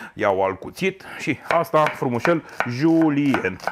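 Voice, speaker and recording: Light background noise behind a man talking. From Romania. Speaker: chef; cooking show host. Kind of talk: cooking tutorial. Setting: home kitchen. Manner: animated. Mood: warm, chatty. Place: kitchen.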